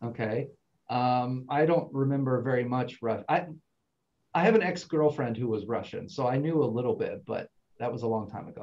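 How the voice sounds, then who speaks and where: Someone with an unremarkable speaking voice and an American accent talks at a moderate pace with ordinary pitch variation. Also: man, medium pitch for a man. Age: 40s. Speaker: international student advisor. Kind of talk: online info session. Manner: casual, conversational.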